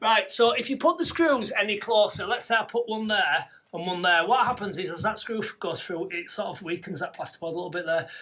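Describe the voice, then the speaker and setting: Raising and projecting his voice, a man with a Yorkshire accent speaks at a high pitch with lively intonation over noticeable background noise. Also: fairly quick pace, hardly any pauses. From Yorkshire, northern England. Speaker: garden room builder. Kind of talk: tutorial. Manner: fast, barely pausing for breath.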